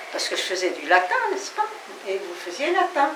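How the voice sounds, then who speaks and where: With noticeable background noise and audible room echo, this woman's words come at a fairly slow pace. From France, Metz. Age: 80s+. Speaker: Holocaust survivor. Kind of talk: testimony. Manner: halting.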